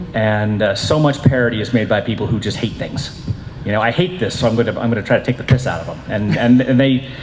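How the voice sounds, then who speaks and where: A man speaks very fast at a medium pitch. The room echoes audibly, and background noise is noticeable. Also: ordinary pitch variation. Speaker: convention panelist. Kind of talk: convention panel discussion. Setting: stage with audience. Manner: loud.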